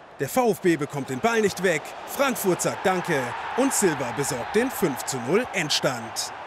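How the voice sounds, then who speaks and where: Over noticeable background noise, a man with an energetic tone speaks fairly slowly in a high voice with very wide pitch swings. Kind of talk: sports commentary recap. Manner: brisk, energetic, narrating play-by-play in past tense.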